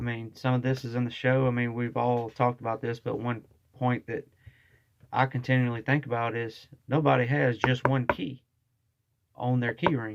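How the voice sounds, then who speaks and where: In a Southern US accent, a man speaks at a moderate pace. His pitch is medium and his intonation fairly even. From US South. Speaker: vlogger. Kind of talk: casual monologue. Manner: casual, with fillers.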